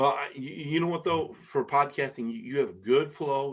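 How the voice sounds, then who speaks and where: Speaking with an American accent, a man uses a fairly high pitch and ordinary pitch variation. The background is quiet. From Michigan, US Midwest. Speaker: podcast host. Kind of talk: casual chat. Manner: fast.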